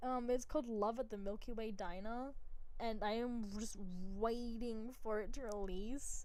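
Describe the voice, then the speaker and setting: Amid audible room echo, a woman with an Australian accent speaks in a dark, mellow tone with ordinary pitch variation. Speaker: vtuber streamer. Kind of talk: live game stream commentary. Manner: animated.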